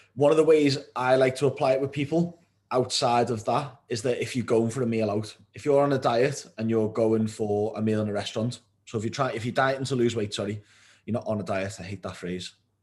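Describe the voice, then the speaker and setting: In a British accent, a man talks at a fairly quick pace and medium pitch, with ordinary pitch variation. The recording is very clean, its background silent. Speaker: nutrition coach. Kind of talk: tutorial.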